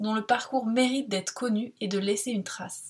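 A woman at a fairly quick pace, in an ordinary speaking voice with fairly even intonation. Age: 20s. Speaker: podcast host. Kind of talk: scripted narration.

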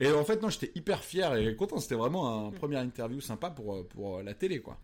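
Speaking at a fairly quick pace, a man with a medium pitch sounds animated, his pitch swinging very widely. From Vendée, western France. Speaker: radio host and comedian. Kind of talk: casual interview. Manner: halting with fillers.

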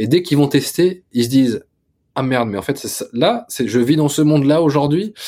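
In a very clean recording with a silent background, a voice with a dark, mellow tone moves at a moderate pace with lively intonation. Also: man, fairly high pitch for a man. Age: 20s. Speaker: tech startup founder. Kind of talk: interview.

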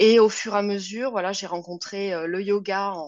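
Medium pitch for a woman, with ordinary pitch variation throughout. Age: 40s. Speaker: yoga teacher. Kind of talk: interview.

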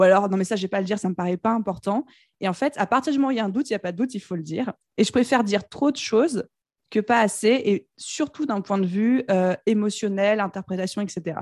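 An animated woman talks at a very fast pace on a very clean recording with a silent background. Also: medium pitch for a woman, ordinary pitch variation. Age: young. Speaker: business coach and entrepreneur. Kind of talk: casual interview conversation. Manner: animated, laughs often.

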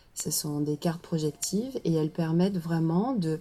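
A woman's dark, mellow, fairly low voice with ordinary pitch variation, in a very clean recording with a silent background. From southern France, Marseille. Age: 40s. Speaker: coach-therapist. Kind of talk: casual interview. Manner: halting.

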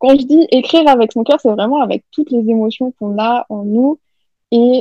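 This is an unremarkable speaking voice at a moderate pace with ordinary pitch variation. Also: woman. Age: 20s. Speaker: novelist. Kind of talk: interview.

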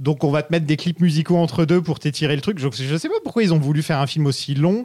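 Over a silent background in a very clean recording, a man talks at a very fast pace. His voice is fairly high, with a dark, mellow tone and ordinary pitch variation. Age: 30s. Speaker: podcast host. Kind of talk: casual chat.

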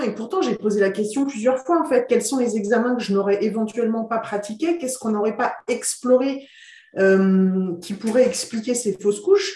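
A woman talks at a moderate pace with lively intonation and a dark, mellow, somewhat breathy tone. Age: 40s. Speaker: interviewee sharing her fertility treatment journey. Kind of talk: interview, personal testimony. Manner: hesitant, many fillers and repetitions.

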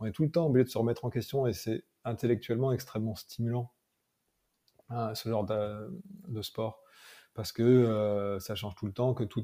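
Over a silent background in a very clean recording, a man with a dark, mellow tone and medium pitch talks at a moderate pace with fairly even intonation. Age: 30s. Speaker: mental performance coach and MMA trainer. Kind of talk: casual interview.

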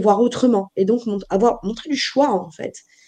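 Speaking at a fairly quick pace, a woman has a fairly high pitch and a dark, mellow tone. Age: 40s. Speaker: life coach and social worker. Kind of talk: interview.

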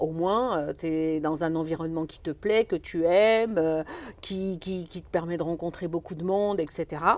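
Recorded very cleanly against a silent background, a woman speaks fairly slowly at a fairly low pitch in a plain, everyday voice. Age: 50s. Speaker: foundation director, former sports teacher. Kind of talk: interview.

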